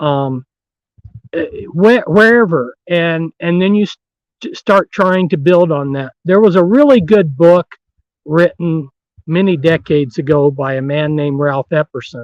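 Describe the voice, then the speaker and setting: A loud man's voice, high in pitch, at a fairly slow pace with ordinary pitch variation, in a dry, close sound with no echo. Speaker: author and researcher on secret societies. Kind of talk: interview. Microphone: distorting from loudness.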